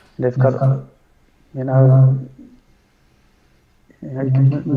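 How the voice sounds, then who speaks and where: Audible room echo surrounds a man's fairly high voice. He sounds somewhat breathy. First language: Dutch. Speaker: photographer and video director. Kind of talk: casual interview conversation. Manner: halting, searching for words.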